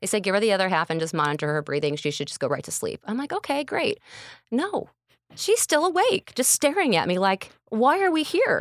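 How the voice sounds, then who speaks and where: A woman with a fairly high pitch and an American accent, fairly quick pace, vocal fry and very wide pitch swings, in a very clean recording with a silent background and a dry, close sound with no echo. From Illinois, Kankakee County. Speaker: radio personality. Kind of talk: casual interview chat. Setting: live stream recording. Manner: animated.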